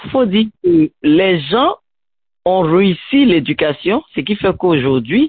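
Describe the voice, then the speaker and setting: A woman with a medium-pitched voice talks fairly slowly, her pitch swinging very widely. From Ivory Coast. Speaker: education student, radio guest. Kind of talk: radio interview.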